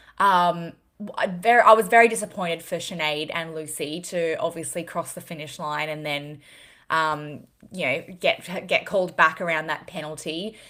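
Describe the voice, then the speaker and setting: A woman with an Australian accent and fairly low pitch speaks at a moderate pace in a bright, sharp tone, her intonation fairly even but her loudness swinging widely, on a very clean recording with a silent background. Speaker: fitness podcast co-host. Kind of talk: casual chat.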